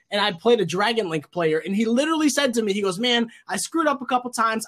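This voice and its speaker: A loud, high-pitched man at a very fast pace, animated in tone, with lively intonation. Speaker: card game YouTuber. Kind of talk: casual chat. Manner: talkative, animated.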